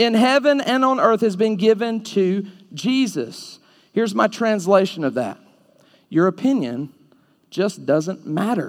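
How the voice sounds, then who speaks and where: On a very clean recording with a silent background, a man with an Alabama accent speaks at a fairly slow pace, high pitched and with lively intonation. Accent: Southern US (Alabama). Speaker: preacher. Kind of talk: fiery evangelistic sermon to a live youth audience, confrontational and call-and-response. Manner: punchy, animated rhetorical delivery with jabbing short sentences; mocking sing-song voicing of the audience's objections.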